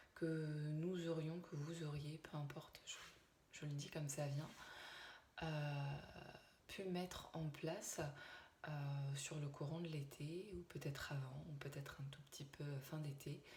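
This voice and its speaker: A soft-spoken woman with a very deep, low pitch and a somewhat breathy voice talks at a very slow pace in a monotone, flat intonation, leaving long, frequent pauses, with audible room echo. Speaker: medium. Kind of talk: channeled spiritual message. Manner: halting, many hesitations. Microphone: viewers say too quiet.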